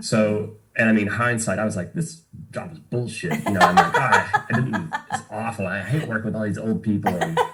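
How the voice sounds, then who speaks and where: A man keeps to a moderate pace as noticeable background noise runs beneath his words. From Tennessee, Knoxville area. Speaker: bartender and musician. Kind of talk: podcast interview. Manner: casual, many fillers.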